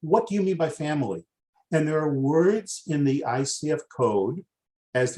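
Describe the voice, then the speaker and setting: In an American accent, the speaker uses lively intonation and a dark, mellow tone at a moderate pace, sounding somewhat breathy. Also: man. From US Northeast, Boston. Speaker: master coach, webinar presenter. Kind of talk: webinar training. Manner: excitable.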